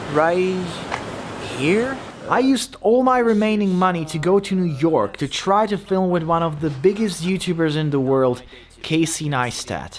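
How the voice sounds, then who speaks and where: The speaker has a Slovak accent and lively intonation. Noticeable background noise can be heard. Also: man. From Slovakia. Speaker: YouTuber. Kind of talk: scripted narration.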